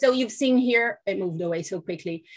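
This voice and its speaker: A woman speaks with a Portuguese accent. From Brazil. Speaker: foundation representative. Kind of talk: webinar presentation. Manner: halting, many fillers.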